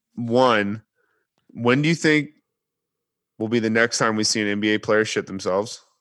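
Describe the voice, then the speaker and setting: A man talks at a moderate pace with a medium pitch. He leaves long, frequent pauses. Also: ordinary pitch variation, very clean recording, silent background. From Texas. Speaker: sports podcast co-host. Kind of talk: casual chat. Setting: studio.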